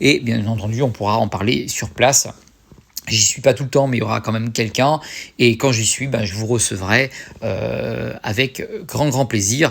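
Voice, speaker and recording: This man's voice has vocal fry and ordinary pitch variation. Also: medium pitch for a man. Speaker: YouTuber. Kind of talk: casual vlog talk to viewers. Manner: fast; hesitant with many fillers.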